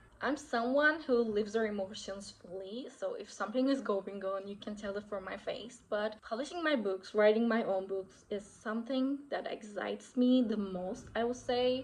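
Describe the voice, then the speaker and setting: A woman's fairly high voice with a Turkish accent and ordinary pitch variation, over noticeable background noise. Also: moderate pace. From Turkey. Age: 20s. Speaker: author and lifestyle vlogger. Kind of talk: casual vlog. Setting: getting ready at home.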